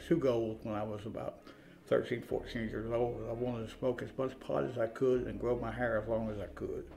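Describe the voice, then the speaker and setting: Music in the background and audible room echo. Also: man. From eastern Kentucky, rural Appalachia. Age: 60s. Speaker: person in addiction recovery. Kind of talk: interview testimony. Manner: halting, many fillers.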